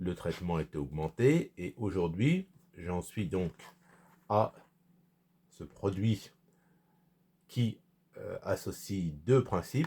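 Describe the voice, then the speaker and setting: Speaking very slowly with long, frequent pauses, a man uses a very deep, low voice that is dark, mellow and somewhat breathy, with ordinary pitch variation. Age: 60s. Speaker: vlogger. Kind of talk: personal vlog monologue. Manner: halting, many hesitations.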